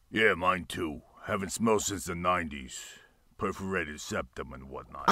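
Using a put-on character voice, a man speaks with a very deep, low pitch and a raspy sound. His pace is moderate. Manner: gruff, aggressive.

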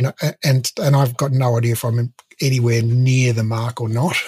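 A man speaks in a somewhat breathy voice at a moderate pace. The background is quiet. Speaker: podcast host. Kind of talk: interview question, casual conversation. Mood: relaxed, friendly, laughing. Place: home room. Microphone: studio mic.

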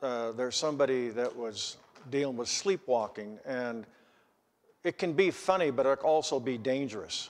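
Ordinary pitch variation at a moderate pace from a man. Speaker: preacher. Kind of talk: sermon. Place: church. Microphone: podium.

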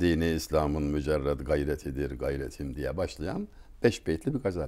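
Against a quiet background, a man speaks with a dark, mellow tone and vocal fry. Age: 60s. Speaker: writer and speaker; speaker. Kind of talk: talk; conversational talk, storytelling. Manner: formal. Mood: warm, reflective. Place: home room. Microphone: lapel.

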